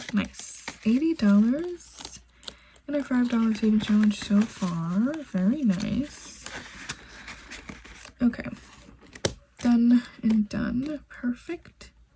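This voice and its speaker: Over noticeable background noise, a woman with a fairly high pitch talks at a very slow pace, using long, frequent pauses and lively intonation. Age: 20s. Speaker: budgeting YouTuber. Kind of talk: casual tutorial.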